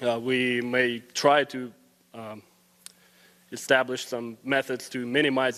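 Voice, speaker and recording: Here a man talks with a Russian accent. His pitch is medium. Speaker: student. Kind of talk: public forum comment. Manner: hesitant with fillers.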